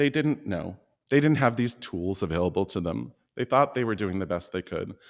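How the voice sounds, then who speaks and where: A man with an American accent speaks in a normal speaking voice, fairly low in pitch, at a moderate pace. His intonation is lively, and the recording is very clean with a silent background. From Oregon. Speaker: performing artist. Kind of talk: personal storytelling.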